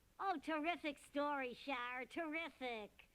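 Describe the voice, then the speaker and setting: A cartoonish character voice, raised and projected, moves at a fairly slow pace. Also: woman, high pitch for a woman. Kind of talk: children's puppet show. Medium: puppet show. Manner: breezy, jokey.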